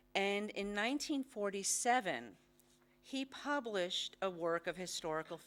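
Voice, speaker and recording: Speaking at a moderate pace, a woman is heard in a very clean recording with a silent background. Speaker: history professor. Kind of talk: lecture.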